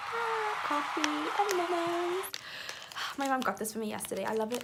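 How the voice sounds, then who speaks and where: A woman speaks at a high pitch and a moderate pace against noticeable background noise. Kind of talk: casual vlog talk to camera. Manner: animated.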